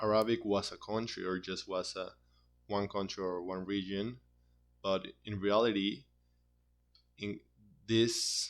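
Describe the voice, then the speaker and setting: Speaking at a fairly slow pace in a Spanish accent, a man with a fairly low pitch and fairly even intonation leaves long, frequent pauses, on a very clean recording with a silent background. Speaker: university student. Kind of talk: class presentation. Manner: halting, with frequent repetitions.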